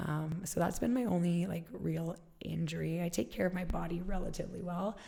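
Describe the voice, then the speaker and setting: At a fairly quick pace, a woman speaks in a gravelly voice with an American accent. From Alaska. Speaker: fitness studio founder. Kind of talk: interview.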